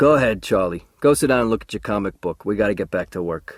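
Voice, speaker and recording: A man puts on a gruff character voice, fairly low in pitch, with lively intonation and a very fast pace, in a dry, close sound with no echo. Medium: read story. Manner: gruff, plainspoken.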